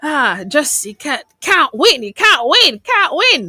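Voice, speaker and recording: A woman projects a raised voice with a bright, sharp tone. Her pitch is high. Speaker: radio host. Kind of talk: call-in radio show. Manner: repetitive, stammering.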